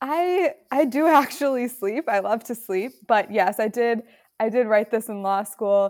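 Fairly slow and with lively intonation, a normal speaking voice comes through with an American accent on a very clean recording with a silent background. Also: woman, fairly high pitch for a woman. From US Midwest, Chicago suburbs. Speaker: author and law student. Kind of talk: podcast interview.

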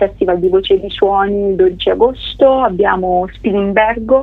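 Her pace is fairly slow and her pitch medium. A woman talks in a plain, everyday voice. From Umbria, Italy (Scheggia, near Gubbio). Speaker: singer-songwriter. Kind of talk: radio interview.

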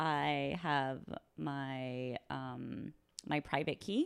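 This very clean recording with a silent background captures a woman with an American accent. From California, Orange County. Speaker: security analyst. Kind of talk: casual chat. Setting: home kitchen.

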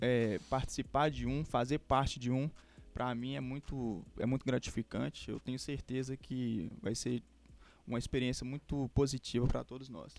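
On a very clean recording with a silent background, an ordinary speaking voice talks at a moderate pace with ordinary pitch variation. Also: man, medium pitch for a man. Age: 20s. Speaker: journalism student and podcast producer. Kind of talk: casual chat.

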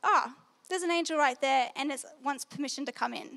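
With an Australian accent, a woman speaks in a high pitch and a bright, sharp tone, keeping her intonation fairly even. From Australia, New South Wales. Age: young. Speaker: Bible school student. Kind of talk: testimony talk. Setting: stage with audience.

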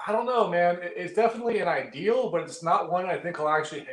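A high-pitched man with an American accent, talking at a very fast pace. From Northern California. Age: 30s. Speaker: knife video reviewer. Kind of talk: casual chat. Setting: video call.

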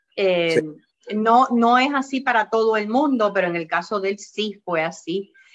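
This woman has a normal speaking voice, pitched fairly high, moving at a fairly slow pace with lively intonation. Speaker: health podcast host. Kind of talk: interview.

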